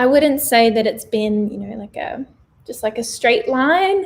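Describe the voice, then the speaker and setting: In an Australian accent, a woman talks with a high-pitched voice. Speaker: vegan lifestyle vlogger. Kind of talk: livestream Q&A monologue. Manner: casual, chatty.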